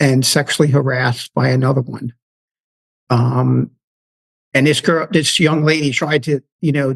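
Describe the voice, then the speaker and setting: Somewhat breathy, a man with a New York accent speaks at a moderate pace in a fairly high voice with fairly even intonation, dry and close with no echo. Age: 50s. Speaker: retired federal law enforcement officer. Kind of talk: interview storytelling. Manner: halting, many fillers.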